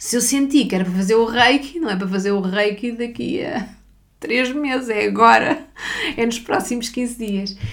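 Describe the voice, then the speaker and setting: Noticeable background noise and audible room echo surround a woman speaking at a fairly high pitch. Her pace is moderate, and her pitch varies in an ordinary way. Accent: European Portuguese. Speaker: spiritual therapist and podcast host. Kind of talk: personal storytelling monologue.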